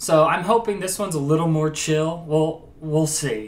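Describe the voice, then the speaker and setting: With an American accent, a man talks at a moderate pace in a normal speaking voice, his pitch fairly high. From US Midwest. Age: 20s. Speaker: YouTuber, comedian. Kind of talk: reaction video commentary.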